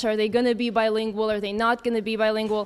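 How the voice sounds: A woman's fairly high voice in an American accent, with a clear, smooth tone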